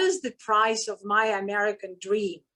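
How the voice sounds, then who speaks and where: A woman with a non-native accent talks at a fairly slow pace and a fairly high pitch. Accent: foreign. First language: not English. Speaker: filmmaker. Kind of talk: panel talk. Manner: halting.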